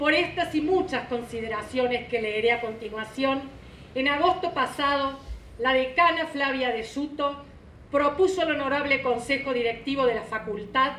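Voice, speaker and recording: A woman's high voice with ordinary pitch variation and very even loudness, plus audible room echo and light background noise. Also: moderate pace. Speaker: presenter. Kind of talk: formal speech read aloud. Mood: solemn, heartfelt. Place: hall. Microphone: podium.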